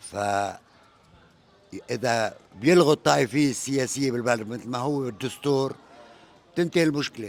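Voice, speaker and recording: With a Lebanese accent, a man talks with long, frequent pauses. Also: medium pitch for a man, ordinary pitch variation, moderate pace. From Lebanon. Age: 70s. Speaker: interviewee in street interview. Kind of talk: street interview.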